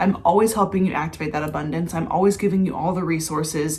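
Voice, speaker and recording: Noticeable background noise sits under a woman's voice. Her pitch is fairly low, with ordinary variation. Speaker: mindset and manifestation coach. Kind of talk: casual vlog with sales pitch.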